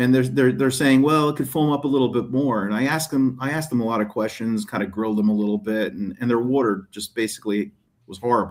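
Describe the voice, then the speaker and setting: A man's speech, pitched at a medium level, moves at a very fast pace. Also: ordinary pitch variation, hardly any pauses. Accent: American. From New Jersey (far northwest). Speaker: detailing YouTuber and product maker. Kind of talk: casual podcast interview. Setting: video call from hotel room. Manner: hesitant, many fillers and repeats.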